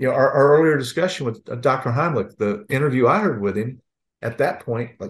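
Over a quiet background, a man talks at a very fast pace. His voice is somewhat breathy and medium in pitch. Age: 60s. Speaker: former school district police chief, safety consultant. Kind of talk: webinar discussion.

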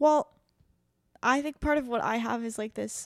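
In a normal speaking voice, a woman talks at a fairly quick pace with ordinary pitch variation, the recording very clean with a silent background and a dry, close sound with no echo. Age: 20s. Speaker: podcast co-host and newsletter creator. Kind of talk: casual chat.

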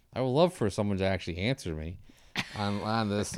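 A normal speaking voice moves at a fairly quick pace with lively intonation in a very clean recording with a silent background. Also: man. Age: 40s. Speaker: podcast host. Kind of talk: casual interview chat.

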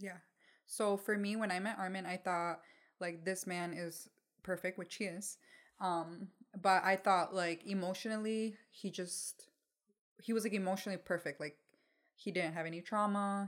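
In a very clean recording with a silent background, a woman talks at a medium pitch and a moderate pace. Her intonation is flat and monotone, with long, frequent pauses. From Mexico, raised in Michigan, US. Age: 20s. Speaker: podcast co-host. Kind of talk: casual chat. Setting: home recording with dog, video.

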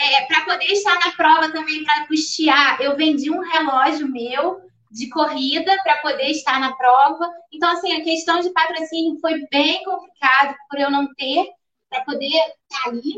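A woman speaks in a raised, projected voice with a high pitch and a bright, sharp tone. Her pace is moderate and her intonation fairly even. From interior of Rio de Janeiro state, Brazil. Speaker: ultramarathon runner. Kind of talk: casual chat. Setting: live stream.

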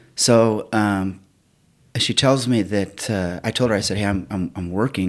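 Very clean recording with a silent background, a man's fairly low-pitched voice, an ordinary speaking voice with ordinary pitch variation. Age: 50s. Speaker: retired police officer, gym member. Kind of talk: interview testimony.

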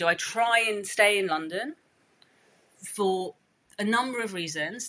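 The speaker has a British accent and lively intonation. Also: woman. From England, of East African Gujarati family. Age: 30s. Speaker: chef. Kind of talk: casual chat. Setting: home, by a street.

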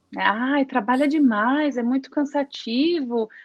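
This woman's voice sits high in pitch. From interior of São Paulo state, Brazil. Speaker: english teacher, former cruise shopping host. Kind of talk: casual interview.

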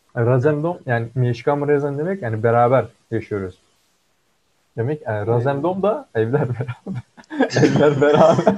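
Pausing long and often, a man of medium pitch talks at a moderate pace with lively intonation. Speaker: co-host, computer engineering student. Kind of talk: casual chat.

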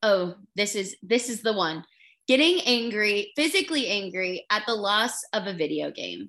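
A woman speaks at medium pitch and a moderate pace with ordinary pitch variation. Her tone is bright, sharp and animated. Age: 20s. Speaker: podcast co-host. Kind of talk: casual chat.

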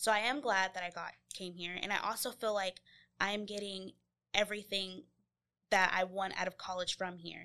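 A woman with an American accent, a bright, sharp tone and fairly even intonation against a quiet background. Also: medium pitch for a woman, moderate pace. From Georgia, US (Covington). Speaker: journalism student. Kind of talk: interview.

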